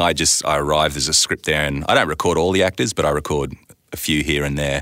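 Recorded very cleanly with a silent background, a man with an Australian accent speaks at a fairly quick pace in a very deep, low pitch, his tone bright and sharp with vocal fry. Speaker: voice actor and sound designer. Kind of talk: casual interview chat.

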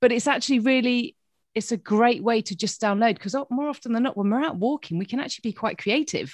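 Animated and enthusiastic, a woman with a British accent speaks at a very fast pace and fairly high pitch with ordinary pitch variation in a dry, close sound with no echo. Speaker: podcast host and coach. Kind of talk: casual interview chat. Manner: animated, enthusiastic.

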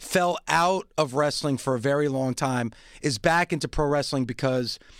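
On a very clean recording with a silent background, a man has a plain, everyday voice, ordinary pitch variation and a moderate pace. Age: 50s. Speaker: wrestling podcast host. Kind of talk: casual chat.

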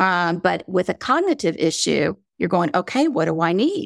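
In a slight Southern accent, a woman speaks in a dry, close recording with no echo. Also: very clean recording, silent background. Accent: slight southern drawl. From North Carolina, US South. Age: 60s. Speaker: vacation rental platform founder. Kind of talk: interview. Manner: halting.

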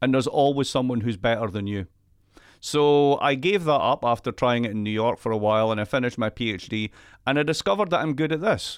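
A man with a Scottish accent and a medium pitch talks at a very fast pace with lively intonation. The recording is very clean with a silent background, and the sound is dry and close with no echo. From Scotland. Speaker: economist. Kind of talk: casual chat.

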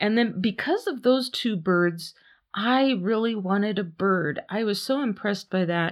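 At a fairly slow pace, a woman talks in a normal speaking voice at a medium pitch with ordinary pitch variation. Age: 50s. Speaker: podcast host. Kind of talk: casual storytelling monologue. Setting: home studio.

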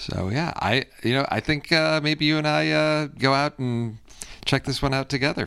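A man speaks at a fairly high pitch in a bright, sharp tone. His pace is moderate and his pitch variation ordinary. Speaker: podcast host. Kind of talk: casual chat.

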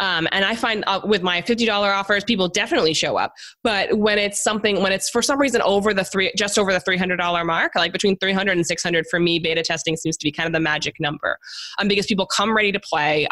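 Over noticeable background noise, a woman with an American accent speaks at a moderate pace in a medium pitch, with ordinary pitch variation and very even loudness. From New York. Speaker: podcast guest, business consultant.

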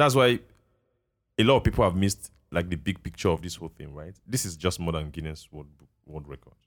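In a Nigerian accent, a man with a very deep, low voice speaks at a fairly quick pace with lively intonation. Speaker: podcast host. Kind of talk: casual chat. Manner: animated.

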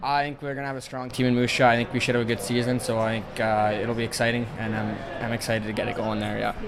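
With hardly any pauses, a man talks at a very fast pace in a medium-pitched, flat, monotone voice over noticeable background noise. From Alberta, Canada. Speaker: hockey prospect. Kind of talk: interview.

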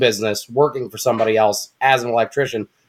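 Medium in pitch with fairly even intonation, a man speaks in an ordinary speaking voice. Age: 30s. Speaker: mobile auto mechanic. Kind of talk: casual chat.

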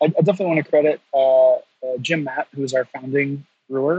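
A man talks at a moderate pace in a plain, everyday voice, with ordinary pitch variation. The sound is dry and close, with no echo. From North Carolina. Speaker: brewery education director. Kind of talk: casual interview.

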